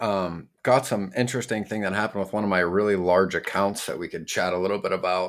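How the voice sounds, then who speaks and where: This is a normal speaking voice. It moves at a fairly quick pace. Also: man. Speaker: podcast co-host, freight broker. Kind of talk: casual podcast conversation. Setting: remote recording between two cities.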